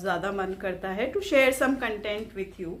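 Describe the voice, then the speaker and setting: A woman speaks at a moderate pace and a medium pitch, with ordinary pitch variation and audible room echo. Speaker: vlogger. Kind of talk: casual vlog talk. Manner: hesitant, many fillers.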